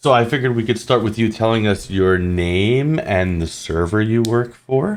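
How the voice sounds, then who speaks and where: Speaking with an American accent, a man at medium pitch keeps a moderate pace, ordinary pitch variation, very even loudness and hardly any pauses. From New York. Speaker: podcast host. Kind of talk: podcast interview. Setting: online call. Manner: halting.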